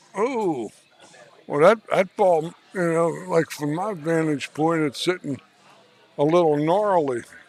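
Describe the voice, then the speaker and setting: Against music in the background, a man with a high pitch and ordinary pitch variation talks with long, frequent pauses. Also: fairly slow pace. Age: 70s. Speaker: pool commentator. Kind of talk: live commentary. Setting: at the venue near the table. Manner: halting, frequent repetitions and fillers.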